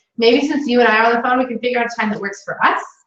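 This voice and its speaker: Ordinary pitch variation in a fairly high female voice. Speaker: sales consultant trainer. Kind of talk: training session. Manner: loud; animated.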